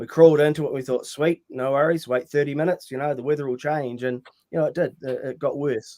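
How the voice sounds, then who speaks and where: Speaking at a very fast pace, a man keeps a fairly high pitch and fairly even intonation. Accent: New Zealand. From rural New Zealand. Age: 60s. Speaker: mountaineer and motivational speaker. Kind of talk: podcast interview. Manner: hesitant, many fillers.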